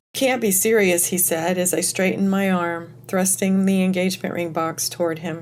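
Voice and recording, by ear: The speaker is reading aloud. It is in a natural voice.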